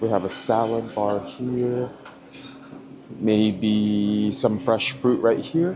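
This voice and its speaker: Medium-pitched man with ordinary pitch variation, amid noticeable background noise. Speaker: travel vlogger. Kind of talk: travel vlog. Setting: airport lounge. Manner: casual, with fillers; speaking quietly.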